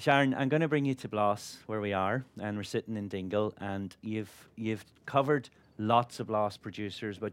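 A man with an Irish accent speaks at a fairly low pitch and a moderate pace, with fairly even intonation, on a very clean recording with a silent background. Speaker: chef and broadcaster. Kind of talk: on-stage interview. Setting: stage with audience.

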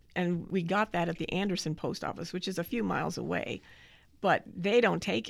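On a very clean recording with a silent background, a woman with an American accent and vocal fry talks at a moderate pace and a fairly low pitch. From Southern California. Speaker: retiring mail processing manager. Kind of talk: casual interview. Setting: office.

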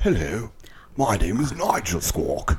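A man performs a put-on character voice with a British accent. He speaks at a fairly slow pace. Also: medium pitch for a man. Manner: clipped.

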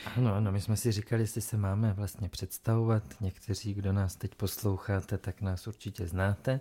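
In a very clean recording with a silent background and a dry, close sound with no echo, a man with a fairly low pitch and a dark, mellow tone speaks in a somewhat breathy, monotone, flat way with hardly any pauses. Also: moderate pace. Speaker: podcast co-host. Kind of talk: casual chat. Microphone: new microphone.

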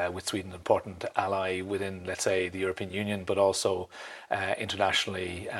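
In an Irish accent, a man speaks with a very deep, low pitch. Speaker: ambassador. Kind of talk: interview. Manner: halting.

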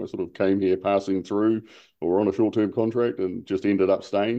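A fairly low-pitched man in a New Zealand accent, at a fairly quick pace, with ordinary pitch variation. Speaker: outrigger canoe racer. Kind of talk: interview.

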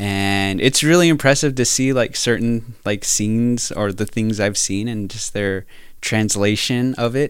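An unremarkable speaking voice from a man, fairly low-pitched, with ordinary pitch variation and a moderate pace. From US Southwest, New Mexico (Navajo Nation). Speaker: teacher. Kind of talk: casual interview. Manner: many fillers and laughs.

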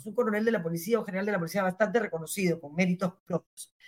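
The woman's intonation is lively. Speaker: former justice minister. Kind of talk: interview.

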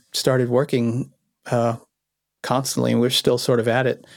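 A normal speaking voice moves at a fairly quick pace. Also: man, very clean recording, silent background. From born in Vienna, Austria, raised in Los Angeles. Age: 40s. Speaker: electronic music producer. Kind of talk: interview.

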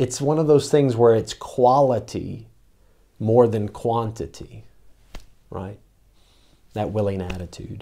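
A man's dark, mellow tone at medium pitch, fairly slow with long, frequent pauses and ordinary pitch variation. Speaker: pastor. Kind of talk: sermon. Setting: church. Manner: halting.

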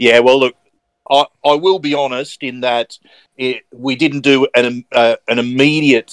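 Speaking with an Australian accent, a man talks fairly slowly at a medium pitch with fairly even intonation, the sound dry and close with no echo. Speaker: sports podcast co-host. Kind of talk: casual chat.

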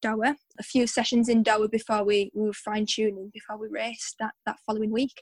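Somewhat breathy speech at a fairly quick pace, with a dry, close sound and no echo. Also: woman. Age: 20s. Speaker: 800 metre runner. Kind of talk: interview. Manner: animated.

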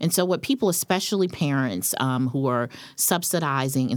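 Lively intonation at a moderate pace on a very clean recording with a silent background. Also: woman. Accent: American. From North Carolina. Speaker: sociology professor and author. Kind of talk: interview. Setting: studio.

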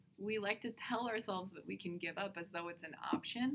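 This woman has an unremarkable speaking voice at a medium pitch. She talks at a fairly quick pace with ordinary pitch variation. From US (Iranian American family). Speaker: comedian. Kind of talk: casual chat. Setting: conference venue.

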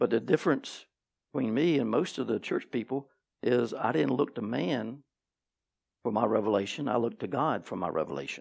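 Vocal fry and lively intonation mark this fairly quick speech in a very clean recording with a silent background. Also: man, medium pitch for a man. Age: 50s. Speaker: pastor. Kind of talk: sermon. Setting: church.

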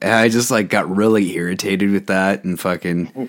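A man's fairly low, plain, everyday voice with ordinary pitch variation at a moderate pace. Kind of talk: casual chat. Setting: video call.

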